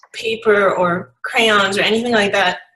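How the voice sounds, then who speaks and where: With an American accent, a woman speaks in fairly even intonation while music plays in the background. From US Northeast, Long Island and New York City. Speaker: photographer and speaker. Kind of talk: interview. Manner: hesitant with fillers.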